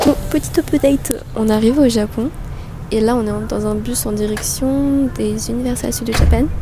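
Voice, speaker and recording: With music in the background, a woman delivers her words at a moderate pace. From France. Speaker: travel vlogger. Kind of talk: casual vlog. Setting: airport, then bus. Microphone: no microphone, camera mic.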